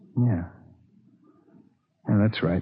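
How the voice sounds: A man's put-on character voice, fairly low-pitched with a husky, rough edge, very slow, with ordinary pitch variation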